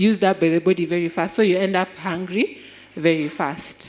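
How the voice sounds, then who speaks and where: With a Kenyan accent, a woman talks at a moderate pace. Her pitch is medium. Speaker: health speaker. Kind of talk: health talk.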